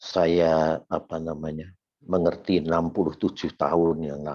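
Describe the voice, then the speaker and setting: A man speaks at a fairly slow pace with a very deep, low pitch and a dark, mellow tone. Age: 70s. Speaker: lay preacher. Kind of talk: sermon.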